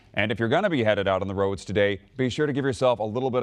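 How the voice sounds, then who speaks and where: In a normal speaking voice, a man with a fairly low pitch talks with ordinary pitch variation. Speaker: news anchor. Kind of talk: TV news anchor read.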